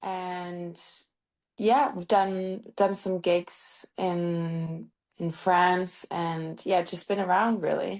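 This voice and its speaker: A woman with a Norwegian accent speaks at a very slow pace with fairly even intonation. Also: medium pitch for a woman. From Norway. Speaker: singer-songwriter. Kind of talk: interview.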